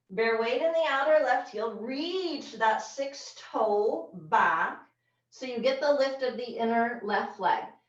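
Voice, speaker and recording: A woman speaks at a high pitch with lively intonation and a very slow pace. Audible room echo surrounds her voice. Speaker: yoga teacher. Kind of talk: yoga class instruction. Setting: video call. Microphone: low quality video call recording.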